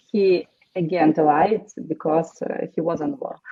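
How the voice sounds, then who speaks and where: The speaker has a Ukrainian accent, ordinary pitch variation, and a fairly slow pace. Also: woman. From Ukraine. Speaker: war widow. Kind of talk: testimony. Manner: halting.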